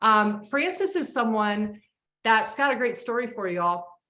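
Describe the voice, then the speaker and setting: A woman speaks with a bright, sharp tone and an animated delivery at a fairly slow pace. Her pitch variation is ordinary, and audible room echo surrounds her. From Florida, Clearwater. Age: 60s. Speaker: host. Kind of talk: video call hosting.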